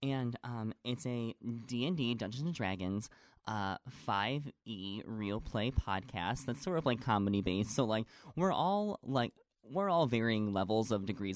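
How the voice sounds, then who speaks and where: This man has an ordinary speaking voice, medium in pitch, with an American accent and lively intonation at a moderate pace. The sound is dry and close with no echo. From upstate New York, north of Syracuse. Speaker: actor and musical theater performer. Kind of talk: casual chat.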